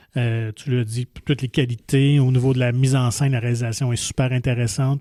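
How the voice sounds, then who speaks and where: His tone is dark and mellow. The man's intonation stays flat and monotone. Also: medium pitch for a man, fairly quick pace, dry, close sound with no echo. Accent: Quebec. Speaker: film podcast host. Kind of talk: casual film review chat.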